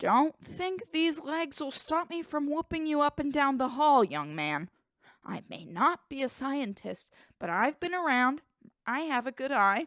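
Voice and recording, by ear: Putting on a character voice, a woman speaks at a moderate pace with a high pitch and lively intonation, the sound dry and close with no echo.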